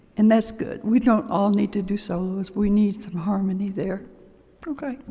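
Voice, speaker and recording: The woman's pitch is medium, with ordinary pitch variation. Noticeable background noise sits behind her. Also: moderate pace. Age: 80s+. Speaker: lay church member giving homily. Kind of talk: homily. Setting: church. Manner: halting.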